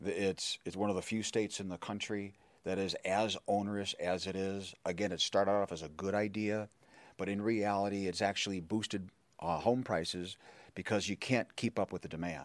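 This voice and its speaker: With an American accent, a man speaks in a fairly low, monotone, flat voice against a quiet background. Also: moderate pace. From Chicago, Illinois. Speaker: political candidate. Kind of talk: candidate debate. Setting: stage with audience.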